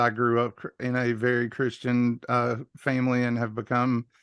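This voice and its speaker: A man of medium pitch speaks in a Southern US accent. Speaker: workshop participant. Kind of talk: casual chat.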